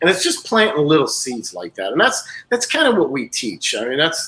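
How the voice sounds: At a moderate pace, a man speaks with a bright, sharp tone and a slightly husky edge, his fairly high pitch making very wide swings.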